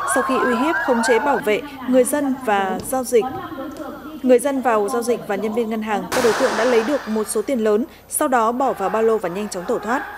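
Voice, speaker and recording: A woman's fairly high, fairly quick voice against noticeable background noise. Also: ordinary pitch variation. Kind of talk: news reading. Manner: formal.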